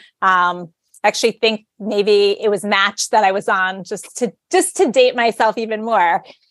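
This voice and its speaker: In a plain, everyday voice at medium pitch, a woman speaks at a fairly slow pace with fairly even intonation, in a dry, close sound with no echo. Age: 40s. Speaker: adult content creator. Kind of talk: casual chat.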